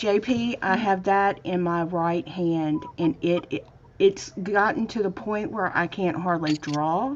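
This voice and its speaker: Noticeable background noise sits behind a woman with a Southern US accent. She talks at a very slow pace. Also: medium pitch for a woman, ordinary pitch variation. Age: 50s. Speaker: craft livestream host. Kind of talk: casual chat.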